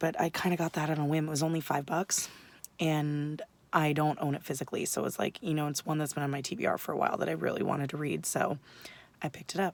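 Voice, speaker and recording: Putting on a character voice, a woman speaks quietly and very fast in a raspy, very deep, low pitch with fairly even intonation. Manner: quiet, subdued.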